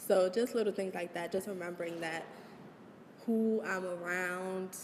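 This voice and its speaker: A woman at medium pitch with fairly even intonation and a moderate pace. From Maryland (Prince George's County), US. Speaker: college student interviewee. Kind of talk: interview. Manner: loud at times.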